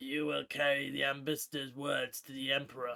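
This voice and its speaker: Raspy and fairly high in pitch, a man puts on a character voice at a moderate pace. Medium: read story. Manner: soft-spoken, menacing.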